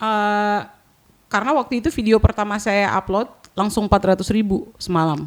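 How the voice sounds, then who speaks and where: A woman talks at a moderate pace in a medium pitch. She has a plain, everyday voice. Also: ordinary pitch variation. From Papua. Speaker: content creator. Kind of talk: podcast interview.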